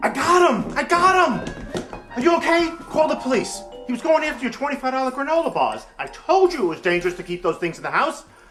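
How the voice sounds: Putting on a character voice, a man speaks at an extremely high pitch with big pitch swings, a fairly bright tone and a fairly quick pace as faint music plays in the background.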